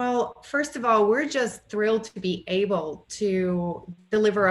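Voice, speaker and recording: A woman with ordinary pitch variation, over noticeable background noise. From Bulgaria. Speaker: communications director of an industry association. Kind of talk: interview.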